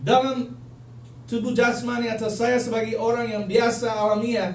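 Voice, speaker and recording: With a Manado accent, a man speaks high-pitched and animated at a fairly slow pace, with audible room echo and noticeable background noise. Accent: Manado accent in Indonesian. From United States. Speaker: preacher. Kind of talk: sermon.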